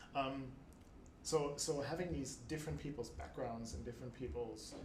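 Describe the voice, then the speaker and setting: With a German accent, a man speaks at a fairly slow pace in a medium pitch, his intonation lively amid audible room echo. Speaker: book club organiser, data professional. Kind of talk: casual chat. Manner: halting, many fillers.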